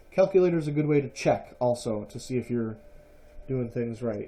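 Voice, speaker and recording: This man's voice sits at a medium pitch, with a dark, mellow tone. His intonation is lively and his pace moderate. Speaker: math teacher. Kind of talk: tutorial. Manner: casual with fillers.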